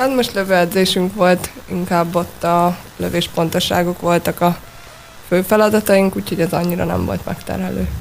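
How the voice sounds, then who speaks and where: At a moderate pace, a woman with a fairly low pitch and fairly even intonation talks over noticeable background noise. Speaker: handball player. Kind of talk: radio interview. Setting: studio.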